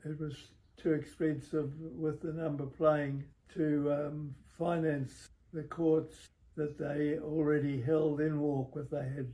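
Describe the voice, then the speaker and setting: Very slow and monotone, flat in intonation, a man speaks at a fairly high pitch in a somewhat breathy voice with a dark, mellow tone. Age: 80s+. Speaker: former tennis club member. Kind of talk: interview answer. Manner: slow, hesitant.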